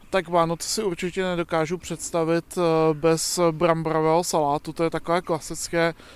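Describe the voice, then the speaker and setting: A man's high-pitched voice in a monotone, flat intonation at a moderate pace. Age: 30s. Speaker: passer-by in street poll. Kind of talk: street interview.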